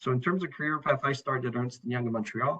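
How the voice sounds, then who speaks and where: A man with a French Canadian accent speaks in a bright, sharp tone. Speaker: internal auditor. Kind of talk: presentation. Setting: online event.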